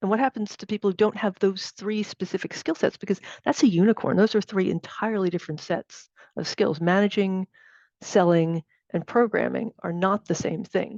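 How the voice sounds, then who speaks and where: A woman with an American accent has an ordinary speaking voice, a medium pitch and ordinary pitch variation, speaking at a moderate pace. The sound is dry and close with no echo, and the background is quiet. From United States. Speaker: technology executive and workshop speaker. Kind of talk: workshop talk. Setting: video call.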